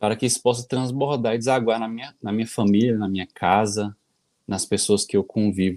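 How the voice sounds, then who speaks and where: A medium-pitched male voice with ordinary pitch variation, in a very clean recording with a silent background. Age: 30s. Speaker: community postulant. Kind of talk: testimony.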